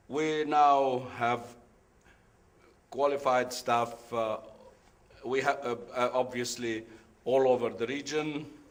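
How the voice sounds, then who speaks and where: A man talks very slowly, with long, frequent pauses and a flat, monotone delivery. Noticeable background noise and audible room echo fill the recording. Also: medium pitch for a man. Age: 70s. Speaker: business executive, conference speaker. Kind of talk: conference talk. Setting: conference room with audience. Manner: halting, with many fillers.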